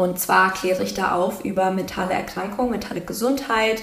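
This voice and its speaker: A woman speaks at a medium pitch with fairly even intonation. Audible room echo and noticeable background noise surround her voice. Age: 20s. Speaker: psychology graduate and mental health educator. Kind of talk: casual interview.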